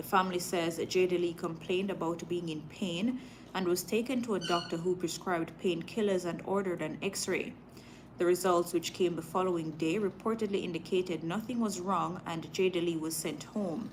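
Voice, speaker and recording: With a Jamaican accent, a woman at a fairly low pitch speaks at a moderate pace and with fairly even intonation. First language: Jamaican patois. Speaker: live news streamer. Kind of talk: live stream news reading with chat; casual chat. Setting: live stream.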